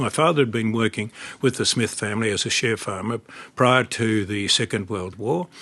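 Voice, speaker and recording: Speaking at a medium pitch with ordinary pitch variation, a man talks in an Australian accent. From Australia, rural Victoria (Horsham). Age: 80s+. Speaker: retired barrister and former politician. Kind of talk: interview.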